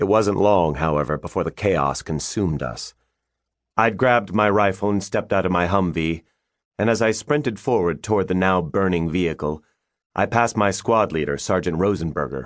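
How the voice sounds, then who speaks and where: A man talks at a fairly quick pace in a very deep, low voice, the background quiet. His tone is intense and serious, with lively intonation. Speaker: audiobook narrator. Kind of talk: dramatic audiobook narration, first-person war memoir read aloud, tense and vivid. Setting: studio. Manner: intense, gravely serious, measured pacing that builds tension.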